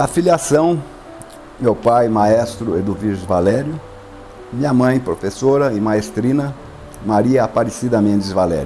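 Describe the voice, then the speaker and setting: Music plays behind a man speaking at a medium pitch with lively intonation. His pace is moderate. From Brazil, São Paulo state (Jaboticabal). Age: 60s. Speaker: conductor and pianist. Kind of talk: interview. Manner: halting.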